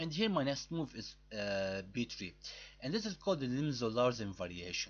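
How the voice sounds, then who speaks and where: A man speaks at a moderate pace and a medium pitch. He has a non-native accent. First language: not English. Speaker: chess YouTuber. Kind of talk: tutorial. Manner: halting.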